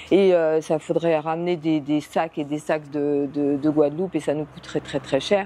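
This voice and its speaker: A woman speaks at a very slow pace with ordinary pitch variation. Her tone is dark and mellow. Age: 60s. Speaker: beekeeper. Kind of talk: interview. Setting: greenhouse. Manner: hesitant, many fillers.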